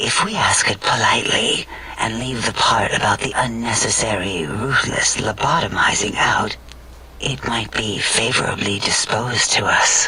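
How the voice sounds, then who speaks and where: A man puts on a character voice at a medium pitch and a moderate pace. Background noise is clearly audible. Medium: machinima. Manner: calm, clinical.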